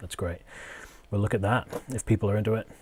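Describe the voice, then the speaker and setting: A somewhat breathy man is heard in a very clean recording with a silent background. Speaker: music producer and streamer. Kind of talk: tutorial livestream. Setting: live stream. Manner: hesitant, many fillers.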